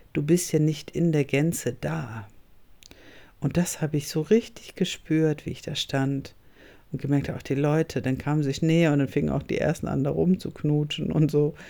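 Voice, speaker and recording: A woman speaks with a very deep, low pitch and a dark, mellow tone. Her intonation is fairly even, and her pace is moderate. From northern Germany. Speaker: podcast host and coach. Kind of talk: solo podcast monologue.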